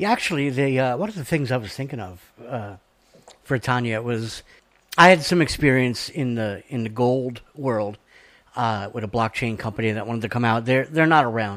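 A man has an unremarkable speaking voice and an American accent. He talks at a moderate pace and medium pitch with ordinary pitch variation. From South Georgia, US. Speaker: radio show co-host. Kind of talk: casual interview.

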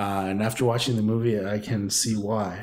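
Someone with an unremarkable speaking voice and an American accent talks at a moderate pace with fairly even intonation, in a very clean recording with a silent background. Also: man. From Southern California (El Monte). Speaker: podcast co-host. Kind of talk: casual chat.

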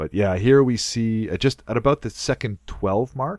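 Recorded very cleanly with a silent background, a man speaks at a fairly slow pace with lively intonation. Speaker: podcast host. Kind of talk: solo movie commentary. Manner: casual, playful.

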